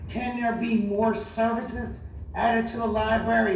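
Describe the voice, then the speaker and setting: An American accent with noticeable background noise. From Bridgeton, southern New Jersey. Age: 60s. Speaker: public commenter at city council meeting, former school board member. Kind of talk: public comment at council meeting. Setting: city council meeting hall. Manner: animated.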